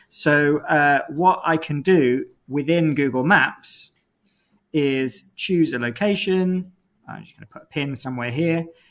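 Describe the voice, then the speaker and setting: A man speaks in a normal speaking voice, fairly high-pitched for a man, at a fairly slow pace, with ordinary pitch variation and big swings in loudness. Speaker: university lecturer. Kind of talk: lecture.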